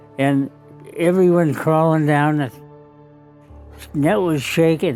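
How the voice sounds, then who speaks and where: A fairly high male voice with an American accent, fairly slow, with ordinary pitch variation and music in the background. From United States. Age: 80s+. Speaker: war veteran. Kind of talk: interview answer.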